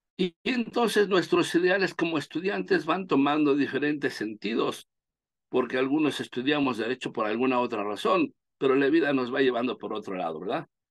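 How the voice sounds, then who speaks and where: A man talks at a fairly quick pace with a fairly high pitch. His pitch swings very widely, and the sound is dry and close with no echo. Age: 60s. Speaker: law professor. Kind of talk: lecture. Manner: halting.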